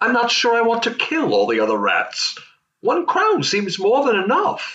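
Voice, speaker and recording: A man puts on a cartoonish character voice, pitched extremely high, at a moderate pace. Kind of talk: comic puppet Shakespeare parody.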